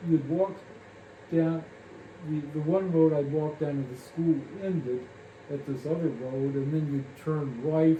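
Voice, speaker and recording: A man with a Midwestern US accent speaks at a fairly slow pace, fairly high in pitch, with fairly even intonation and long, frequent pauses. Audible room echo and noticeable background noise fill the recording. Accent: US Midwest. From Kansas. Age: 80s+. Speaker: family elder recalling memories. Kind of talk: oral history interview. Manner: halting, many fillers.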